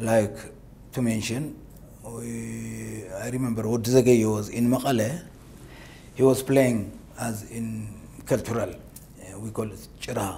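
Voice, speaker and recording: A man with an Eritrean accent, at a very slow pace with long, frequent pauses, fairly even intonation and big swings in loudness, over light background noise. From Ethiopia (Tigray); Ethiopia. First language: Tigrinya. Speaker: war veteran; interview guest. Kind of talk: interview. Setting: studio. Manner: halting. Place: studio. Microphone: lapel.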